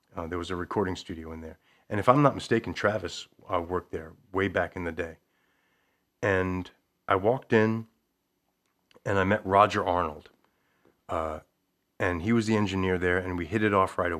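Very deep and low, this man's voice carries an American accent and fairly even intonation at a fairly quick pace. Long, frequent pauses break up his speech on a very clean recording with a silent background. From Long Island, New York. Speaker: singer-songwriter and English teacher. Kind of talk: casual interview.

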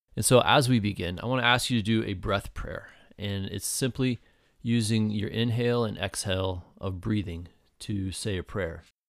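A normal speaking voice with ordinary pitch variation comes through on a very clean recording with a silent background. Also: man, fairly low pitch for a man. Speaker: prayer guide. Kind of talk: guided meditation. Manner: slow, calm, gentle pacing with pauses; soft-spoken, reverent.

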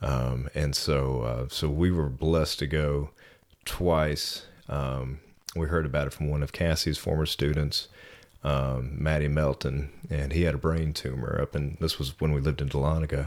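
Very deep, low-pitched man with an American accent, moderate pace, very even loudness, monotone, flat intonation. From North Georgia, US South. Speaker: fitness business owner. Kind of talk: casual interview.

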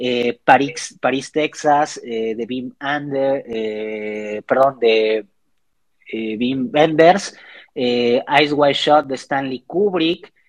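A man talks in a normal speaking voice at a medium pitch with ordinary pitch variation. The sound is dry and close, with no echo. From Mexico, Xalapa, Veracruz. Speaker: philosophy doctoral student and university lecturer. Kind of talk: casual interview. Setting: at home, remote call.

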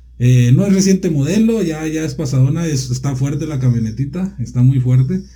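The voice has a dark, mellow tone and is somewhat breathy, moving at a fairly quick pace with lively intonation and hardly any pauses. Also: man, fairly high pitch for a man. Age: 30s. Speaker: volunteer firefighter commander. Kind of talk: interview. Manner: halting.

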